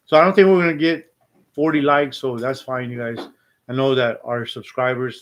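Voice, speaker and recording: He speaks in a plain, everyday voice, pitched in the medium range. His pace is moderate, and his pitch varies in an ordinary way. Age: 60s. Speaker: live streamer. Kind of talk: casual live stream chat.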